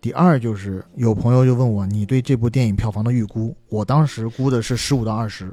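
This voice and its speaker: At a fairly quick pace with hardly any pauses, a man speaks in a medium pitch with ordinary pitch variation and a dark, mellow tone. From southern China. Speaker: podcast co-host. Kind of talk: casual chat.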